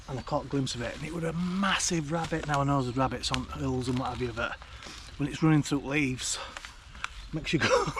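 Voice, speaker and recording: There is noticeable background noise. Over it, a man talks at a very fast pace. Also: fairly high pitch for a man. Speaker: outdoor vlogger. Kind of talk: casual vlog narration. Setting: outdoors in woodland at dusk. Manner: hesitant, halting; whispering.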